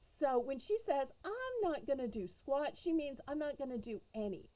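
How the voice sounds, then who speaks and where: A woman speaks with a Southern US accent, high in pitch and dark and mellow in tone. Her pitch swings very widely. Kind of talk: casual storytelling to camera. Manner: humorous, chatty.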